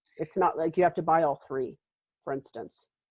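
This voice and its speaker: Here is a plain, everyday voice from a woman. Her pitch sits fairly low and varies in an ordinary way. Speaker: wellness practitioner, essential oils and tapping. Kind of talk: webinar presentation. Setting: live webinar, video call.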